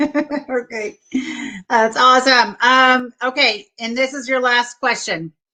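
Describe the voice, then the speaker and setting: At a very slow pace, a woman speaks with a high pitch, a bright, sharp tone and ordinary pitch variation. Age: 50s. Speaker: talk show host. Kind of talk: casual interview. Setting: live online show.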